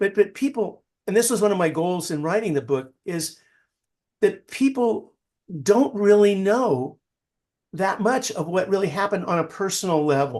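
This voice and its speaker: With lively intonation and a high pitch, a man speaks at a moderate pace broken by long, frequent pauses. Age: 70s. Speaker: novelist. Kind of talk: interview. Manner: halting.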